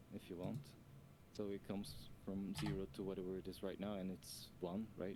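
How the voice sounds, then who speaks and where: Very deep and low in pitch, a man's voice carries a dark, mellow tone. He moves at a moderate pace with fairly even intonation. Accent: non-native. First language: not English. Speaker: game developer helping with code. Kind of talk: casual programming help on live stream. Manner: halting.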